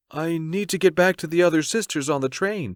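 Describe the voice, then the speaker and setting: In a put-on character voice pitched high, a man talks at a fairly quick pace, the recording very clean with a silent background and a dry, close sound with no echo. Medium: read story.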